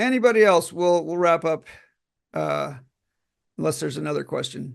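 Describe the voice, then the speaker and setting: A man's moderate-paced speech comes through over a quiet background. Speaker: class teacher. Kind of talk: online class Q&A.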